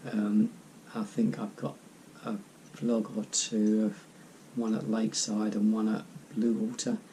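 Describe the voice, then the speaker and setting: Speaking in a monotone, flat intonation with an English accent, a man has a dark, mellow tone and a fairly low pitch. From southern England, east of London. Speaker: YouTuber. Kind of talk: casual Q&A vlog. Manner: hesitant, many ums.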